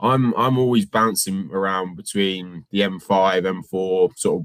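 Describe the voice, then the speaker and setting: A man with a West Country accent speaks at a fairly low pitch. His pace is fairly slow, with ordinary pitch variation. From England, North Devon. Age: 20s. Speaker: Amazon reseller. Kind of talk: casual interview. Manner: halting.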